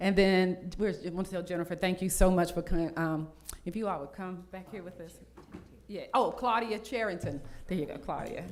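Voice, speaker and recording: A woman with a medium pitch and ordinary pitch variation talks at a moderate pace, her loudness swinging widely amid audible room echo. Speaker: mayor. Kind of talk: reading a proclamation; city council meeting remarks. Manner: halting with fillers.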